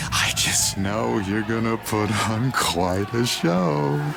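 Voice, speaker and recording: Over loud background noise, a man uses a put-on character voice, fairly low in pitch and very slow. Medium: machinima. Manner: playful, manic.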